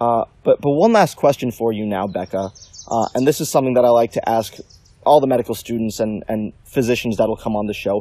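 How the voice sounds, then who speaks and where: Here a man speaks at a fairly quick pace with a dark, mellow tone. His medium pitch shows ordinary variation. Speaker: podcast host, medical student. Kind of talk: casual interview. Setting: outdoors in a forest.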